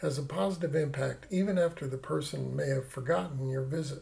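This man's pitch is fairly high and he talks at a fairly quick pace. Noticeable background noise runs behind him. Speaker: interviewer. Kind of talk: interview.

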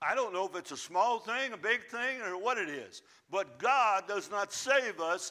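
The recording is just plain reading aloud.

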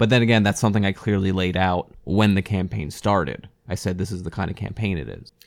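Talking at a very fast pace with hardly any pauses, a man uses a very deep, low voice with vocal fry on a very clean recording with a silent background. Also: ordinary pitch variation. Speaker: tabletop game podcast co-host. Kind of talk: casual chat.

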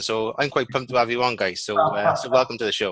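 Speaking with a Welsh accent, a man has a bright, sharp tone, medium pitch and fairly even intonation. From Wales. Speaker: podcast host. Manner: casual, friendly.

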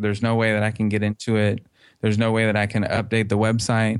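In a monotone, flat delivery, a man speaks with a fairly low pitch. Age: 30s. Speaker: fan website creator. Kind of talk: interview.

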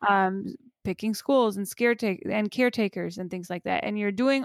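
This very clean recording with a silent background captures a woman at a medium pitch with ordinary pitch variation, in a dry, close sound with no echo. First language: not English. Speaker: podcast co-host, academic parent. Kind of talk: casual chat. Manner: hesitant, many fillers.

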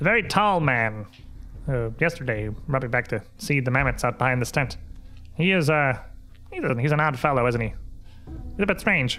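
With clear music in the background, a man of medium pitch does a put-on character voice. He speaks at a moderate pace with long, frequent pauses. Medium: actual play. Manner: rambling, inquisitive, blunt.

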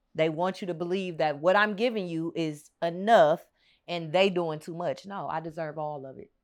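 Against a quiet background, a woman speaks at a moderate pace in a fairly low pitch, her loudness swinging widely. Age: 30s. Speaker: podcast guest sharing dating story. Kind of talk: casual chat.

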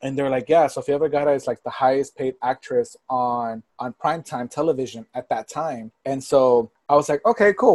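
A man with an American accent has an ordinary speaking voice, fairly high-pitched for a man with ordinary pitch variation. He talks at a fairly quick pace, and the sound is dry and close with no echo. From Texas, Port Arthur near Houston. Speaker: influencer marketing professional. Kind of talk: casual interview chat.

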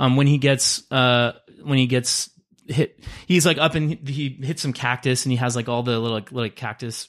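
In an American accent, a man with medium pitch talks at a moderate pace in a normal speaking voice, on a very clean recording with a silent background. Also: fairly even intonation. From Los Angeles. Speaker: guest co-player in movie draft. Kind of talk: casual chat, game-style banter.

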